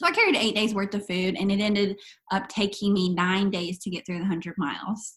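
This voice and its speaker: Her voice somewhat breathy, a woman speaks at medium pitch with fairly even intonation. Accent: American. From US South, East Arkansas. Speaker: long-distance hiker. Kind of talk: interview.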